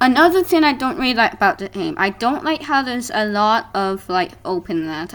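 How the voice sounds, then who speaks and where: The speaker is a woman at a moderate pace. Her pitch swings very widely. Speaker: gaming YouTuber. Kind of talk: game review commentary. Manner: hesitant, many fillers.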